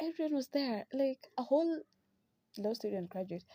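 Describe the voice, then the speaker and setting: A woman with a dark, mellow, somewhat breathy tone talks at a moderate pace, her pitch swinging very widely. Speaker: podcast host. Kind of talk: casual chat. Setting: at home, sister in the room. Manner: soft-spoken, near whisper.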